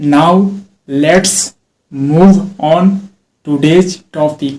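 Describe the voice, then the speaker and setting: In an Indian accent, a man speaks at a high pitch and a very slow pace. His intonation stays fairly even. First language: Hindi. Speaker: English teacher. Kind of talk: self-talk speaking practice.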